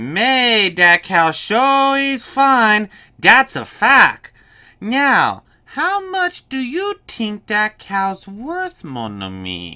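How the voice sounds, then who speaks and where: A put-on character voice with a fairly high pitch speaks at a very slow pace. The recording is very clean, with a silent background. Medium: read story. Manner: smooth, wheedling.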